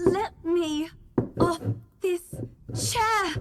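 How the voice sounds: A woman speaks in a put-on character voice at an extremely high pitch, very slowly, with ordinary pitch variation.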